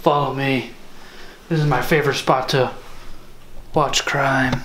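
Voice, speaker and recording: A man puts on a character voice at a medium pitch, speaking at a moderate pace. His delivery is monotone and flat, with clear background noise. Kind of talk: overly serious. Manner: put-on, odd voice.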